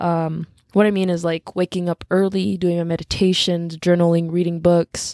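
The voice has a dark, mellow tone and a flat, monotone delivery at a moderate pace. The recording is very clean with a silent background and a dry, close sound free of echo. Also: woman, fairly low pitch for a woman. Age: 20s. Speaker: solo podcaster. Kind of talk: personal monologue.

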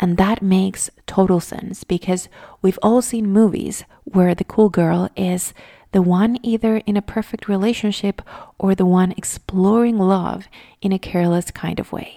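Speaking calmly at a fairly slow pace, a woman with a Spanish accent uses a medium pitch, fairly even intonation and a dark, mellow tone, in a dry, close sound with no echo on a very clean recording with a silent background. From Venezuela. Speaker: mindfulness podcaster. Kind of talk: reflective monologue.

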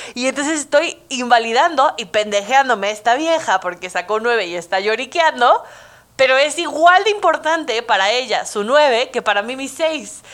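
A woman speaks at a moderate pace in a high pitch with a Mexican accent, her animated tone sweeping through very wide pitch swings. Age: 20s. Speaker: podcast host. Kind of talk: casual monologue.

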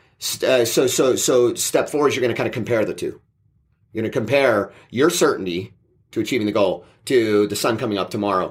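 A man with a plain, everyday voice, medium in pitch with ordinary pitch variation, at a fairly quick pace in a very clean recording with a silent background. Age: 40s. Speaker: mindset coach and podcast co-host. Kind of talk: casual chat. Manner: repetitive, with many fillers and restarts.

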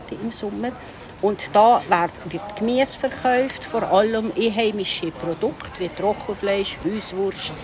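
A woman speaks at a fairly slow pace and medium pitch, with lively intonation. Noticeable background noise sits behind her. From Switzerland, Upper Valais. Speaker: tour guide. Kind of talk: walking tour interview.

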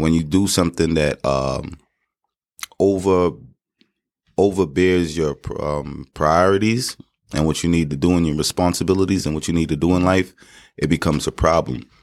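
A man with a New York accent speaks at a moderate pace in a very deep, low pitch, leaving long, frequent pauses. His intonation stays fairly even. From Queens, New York. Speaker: barber and real estate investor. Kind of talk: interview. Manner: halting.

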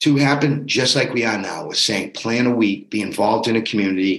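An unremarkable speaking voice from a man at a medium pitch, moderate in pace and with ordinary pitch variation. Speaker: fitness bootcamp coach. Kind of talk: pep talk. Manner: motivational, upbeat, urging.

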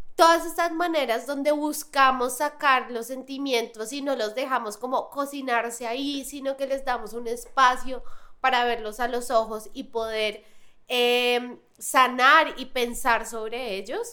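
Her high-pitched voice raised and projected, a woman talks at a fairly slow pace with a bright, sharp tone and fairly even intonation. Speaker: podcast host. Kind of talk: casual interview. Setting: studio.

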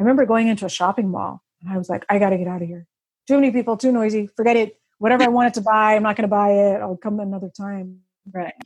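Very fast and fairly even in intonation, a woman speaks. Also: medium pitch for a woman. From Russia. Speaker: author and vision therapy advocate. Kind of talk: interview.

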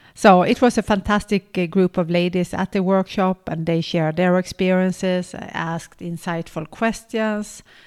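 Woman's fairly low voice, slightly mellow in tone, at a fairly slow pace with fairly even intonation

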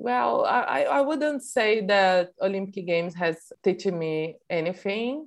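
A speaker with a Portuguese accent talks at a very slow pace, with hardly any pauses. The pitch swings very widely while the loudness stays very even. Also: woman, medium pitch for a woman. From Brazil. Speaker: Olympic wrestler. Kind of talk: interview.

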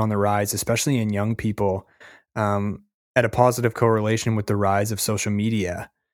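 In a very clean recording with a silent background, a man talks at a moderate pace with a fairly low pitch. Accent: Canadian. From Canada. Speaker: podcast host. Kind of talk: interview, casual chat.

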